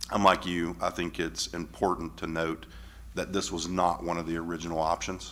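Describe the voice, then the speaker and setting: A loud man's very deep, low voice with a bright, sharp tone and vocal fry. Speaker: school board member. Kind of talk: board meeting discussion. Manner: hesitant, many fillers.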